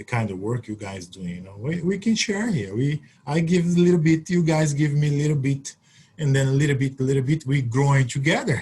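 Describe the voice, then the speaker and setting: A man speaks with a Brazilian Portuguese accent at a fairly high pitch. His voice is somewhat breathy, with a dark, mellow tone. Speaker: Olympic triple jumper. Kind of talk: webinar Q&A.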